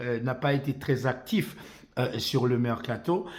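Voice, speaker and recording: Here a man speaks with ordinary pitch variation. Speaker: football commentator YouTuber. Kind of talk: football opinion monologue. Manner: hesitant with many fillers.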